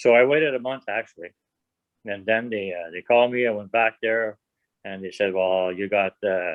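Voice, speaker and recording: At a moderate pace, the speaker talks with a strong French Canadian accent. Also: man, fairly low pitch for a man, ordinary pitch variation. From French Canada. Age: 60s. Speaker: prostate cancer patient. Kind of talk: casual interview.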